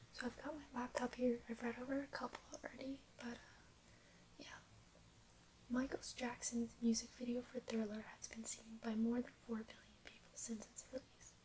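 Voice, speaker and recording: A woman whispers in a soft-spoken way. Her pace is moderate. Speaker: ASMR creator. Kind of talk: ASMR fact reading. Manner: soft-spoken, whispered.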